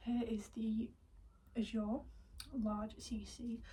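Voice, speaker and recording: In a British accent, a woman speaks with a fairly high pitch, a dark, mellow, somewhat breathy tone and fairly even intonation. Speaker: equestrian vlogger. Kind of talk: casual haul video. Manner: soft-spoken.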